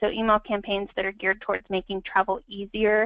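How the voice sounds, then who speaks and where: Speaking at a fairly quick pace, a woman uses a medium pitch and monotone, flat intonation. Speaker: marketing strategist presenting a webinar. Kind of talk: webinar presentation. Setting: online webinar. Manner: fast; many filler words.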